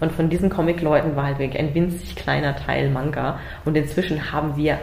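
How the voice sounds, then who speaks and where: With fairly even intonation, a woman speaks in a very deep, low pitch while noticeable background noise and audible room echo surround her voice. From Germany. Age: 30s. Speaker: manga artist. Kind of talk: interview. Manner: halting, with repetitions and fillers.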